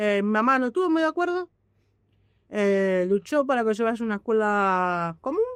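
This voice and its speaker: Pitched fairly high, a woman speaks at a moderate pace with very wide pitch swings and very even loudness. The sound is dry and close with no echo, over a quiet background. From Argentina, Buenos Aires western suburbs (Merlo). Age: 30s. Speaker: deaf activist and sign language interpreter. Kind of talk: interview. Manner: uneven loudness, sometimes loud or very quiet.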